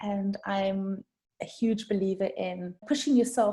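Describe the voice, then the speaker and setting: Speaking at a fairly slow pace with a South African accent, a woman delivers a dark, mellow tone that is somewhat breathy, her intonation fairly even. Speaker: brand designer. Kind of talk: podcast interview. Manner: conversational, some hesitations.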